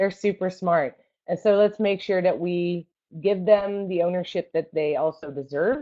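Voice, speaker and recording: Here a woman talks at a moderate pace. Her pitch is medium, with ordinary variation. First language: not English. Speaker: roller derby coach. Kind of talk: online seminar presentation. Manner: casual, many fillers.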